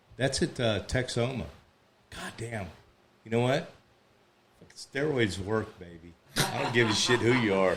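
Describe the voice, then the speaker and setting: A man talks at a fairly slow pace with medium pitch and ordinary pitch variation. Room echo is audible. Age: 60s. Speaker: podcast host and former football player. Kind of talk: casual chat. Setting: home garage studio. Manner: animated.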